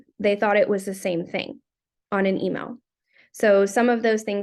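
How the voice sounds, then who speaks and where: Someone with a normal speaking voice talks at a fairly quick pace with fairly even intonation. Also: woman. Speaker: career and tech teacher presenting a class project. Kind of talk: class presentation.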